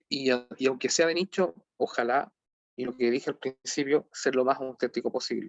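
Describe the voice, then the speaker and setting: Fairly high-pitched man in a Chilean accent, at a fairly quick pace with ordinary pitch variation. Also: dry, close sound with no echo. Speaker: lecturer on game sociology. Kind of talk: online lecture. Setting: video call. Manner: halting, many repetitions.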